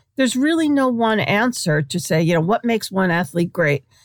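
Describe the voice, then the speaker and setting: In a very clean recording with a silent background and a dry, close sound with no echo, a woman of medium pitch with an American accent speaks with very wide pitch swings. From New York, Brooklyn. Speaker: sports writer. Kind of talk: interview.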